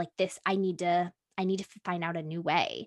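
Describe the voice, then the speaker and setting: A woman with an unremarkable speaking voice talks at medium pitch and a moderate pace, with a dry, close sound and no echo. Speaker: podcast manager. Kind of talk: casual chat.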